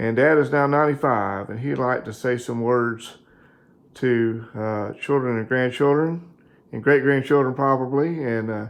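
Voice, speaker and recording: This is a man with an ordinary speaking voice at a medium pitch. He keeps a moderate pace and fairly even intonation. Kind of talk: casual interview questions.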